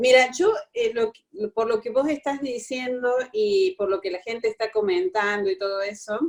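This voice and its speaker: In a Córdoba Argentine accent, a woman speaks at a moderate pace with a fairly high pitch and lively intonation. Her loudness swings widely. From Córdoba, Argentina. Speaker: workshop participant. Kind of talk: personal testimony. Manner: halting.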